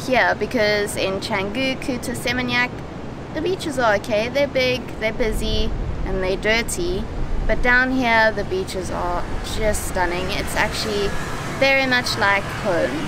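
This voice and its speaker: At a fairly slow pace with long, frequent pauses, a woman talks with ordinary pitch variation, the sound dry with no echo but with noticeable background noise. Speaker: travel vlogger. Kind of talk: casual vlog chat. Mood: relaxed, enthusiastic. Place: beach. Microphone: phone near.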